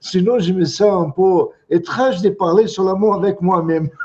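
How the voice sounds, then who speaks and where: A man with a non-native accent, high pitch and ordinary pitch variation, at a moderate pace. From Brazil. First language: Portuguese (speaking French). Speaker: psychotherapist and teacher. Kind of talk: lecture. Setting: video call webinar. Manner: halting, repeats words.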